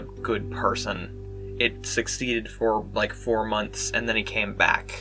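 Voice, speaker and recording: Music plays in the background as a man speaks. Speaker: gaming video creator. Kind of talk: casual talk to camera. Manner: rambling, stuttering.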